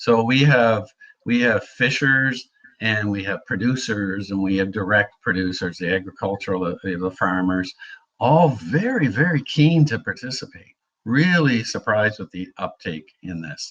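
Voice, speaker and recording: Here is a man with an unremarkable speaking voice and fairly low pitch. He moves at a moderate pace with lively intonation. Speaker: geopark manager. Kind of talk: conference Q&A.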